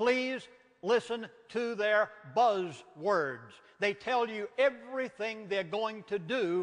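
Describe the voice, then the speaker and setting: This man has a high-pitched voice and a Southern US accent. He speaks at a very slow pace. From US South. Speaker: minister and author. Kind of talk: lecture. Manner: animated.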